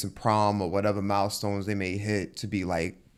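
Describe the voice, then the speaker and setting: In a very clean recording over a silent background, a man with an American accent and a normal speaking voice talks at a moderate pace and a fairly low pitch. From New York. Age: 20s. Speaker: podcast host. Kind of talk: casual chat.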